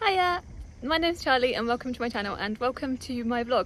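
A woman's high voice at a moderate pace, in a dry sound with no echo, over light background noise. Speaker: vlogger. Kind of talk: casual vlog chat. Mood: cheerful, upbeat. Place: open country. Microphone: phone near.

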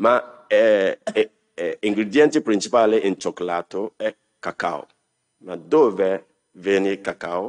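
Against a quiet background, a man with a fairly low pitch talks at a very slow pace with ordinary pitch variation. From Ghana. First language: English or Ghanaian language (speaking Italian). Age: 60s. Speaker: refugee, human rights activist. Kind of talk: personal testimony. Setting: council hall with audience. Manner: halting, many fillers. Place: hall. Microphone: podium.

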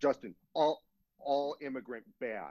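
A man performs a put-on character voice. His pitch sits fairly high. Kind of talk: interview answer.

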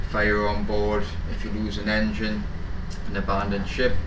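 Noticeable noise sits in the background. Over it, a man talks. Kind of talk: interview answer. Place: boat.

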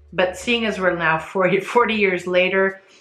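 A woman talks at a fairly slow pace. Audible room echo surrounds her voice. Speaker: fragrance reviewer. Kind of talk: casual review vlog. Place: home room.

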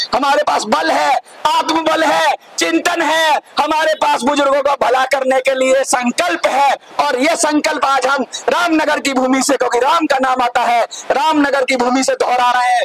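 Over loud background noise, a man with an extremely high pitch talks fairly slowly, keeping his loudness very even and his pitch variation ordinary. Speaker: election candidate. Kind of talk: campaign speech. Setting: outdoors. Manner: loud, impassioned. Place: street. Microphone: handheld.

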